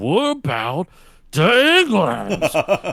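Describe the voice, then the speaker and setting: In a put-on character voice, a man speaks in a raised, projected way. The recording is very clean, with a silent background. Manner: increasingly garbled.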